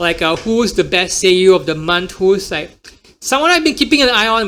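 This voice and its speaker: With an American accent, a man projects a raised, high-pitched voice with lively intonation at a moderate pace. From Singapore. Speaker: podcast host and emcee. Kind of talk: casual solo podcast talk.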